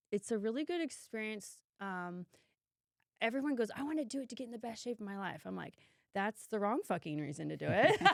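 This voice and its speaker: Loud and animated, a woman with an American accent talks at a fairly quick pace in a fairly high pitch, her pitch swinging very widely. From California. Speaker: vegan fitness influencer and trainer. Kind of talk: casual chat.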